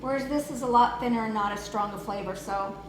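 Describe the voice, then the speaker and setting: Pitch varies in an ordinary way as the speech runs at a fairly quick pace. Noticeable background noise and audible room echo can be heard. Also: woman. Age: 60s. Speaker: lifestyle vlogger. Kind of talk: tutorial. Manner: casual.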